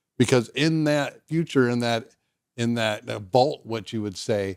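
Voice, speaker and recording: In an American accent, a man with medium pitch and a plain, everyday voice speaks at a moderate pace. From Southern California. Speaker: podcast host. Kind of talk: podcast interview.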